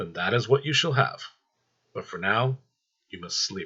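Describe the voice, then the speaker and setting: A man puts on a character voice at medium pitch. He talks at a moderate pace. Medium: read story. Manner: cold, menacing.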